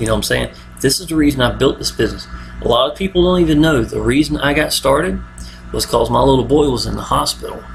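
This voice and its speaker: Mumbling from a man in an American accent, at a very fast pace, with noticeable background noise. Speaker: online marketer. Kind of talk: video monologue. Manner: casual, repetitive fillers.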